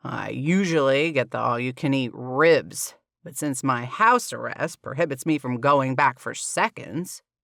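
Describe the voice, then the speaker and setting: A man puts on a gruff, rumbling character voice at medium pitch and moderate pace, with ordinary pitch variation, big swings in loudness and hardly any pauses, on a very clean recording with a silent background. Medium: read story. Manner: gruff, grumbling.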